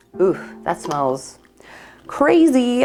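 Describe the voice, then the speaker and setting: A woman speaks in an upbeat tone. Noticeable background noise runs underneath. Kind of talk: casual talk to camera. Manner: upbeat, chatty.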